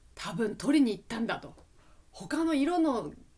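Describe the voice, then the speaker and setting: At a moderate pace, a woman talks in a fairly high pitch with very wide pitch swings. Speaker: Japanese language teacher. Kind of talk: educational podcast, casual talk. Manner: relaxed, conversational.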